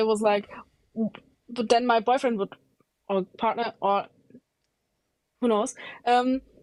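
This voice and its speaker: In a German accent, a woman with a fairly high pitch speaks at a fairly slow pace with fairly even intonation and long, frequent pauses, the sound dry and close with no echo. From Germany. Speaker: caller. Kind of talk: live debate. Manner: halting.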